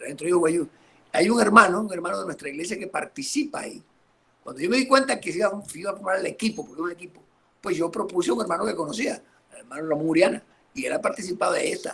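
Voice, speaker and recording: The pace is very fast. The intonation is lively. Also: man. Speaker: pastor. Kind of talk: interview on church history.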